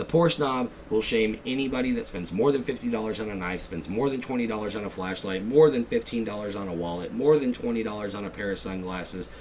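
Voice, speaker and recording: Over noticeable background noise, the speech comes at a very fast pace with hardly any pauses. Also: man, fairly low pitch for a man, ordinary pitch variation. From Texas. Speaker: YouTuber, gear reviewer. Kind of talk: casual vlog rant. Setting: at home at night.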